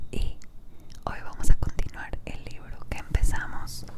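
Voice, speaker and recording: The voice is a whisper, delivered at a very slow pace. Noticeable background noise runs underneath. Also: woman. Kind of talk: casual ASMR intro talk. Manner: whispered.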